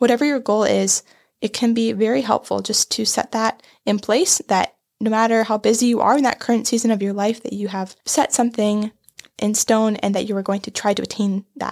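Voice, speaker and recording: A plain, everyday voice moves at a fairly quick pace with fairly even intonation, in a dry, close sound with no echo. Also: woman, fairly high pitch for a woman. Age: young. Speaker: digital media specialist. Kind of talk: casual chat.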